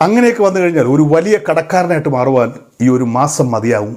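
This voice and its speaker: Lively intonation marks this man's otherwise unremarkable speaking voice. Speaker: social media commentator. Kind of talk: monologue to camera.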